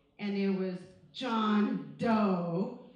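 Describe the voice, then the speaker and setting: A woman is speaking. Noticeable background noise and audible room echo are present. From Mexico, moved to US as a child. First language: Spanish. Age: 30s. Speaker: high school teacher. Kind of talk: personal story told to students. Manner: casual, conversational.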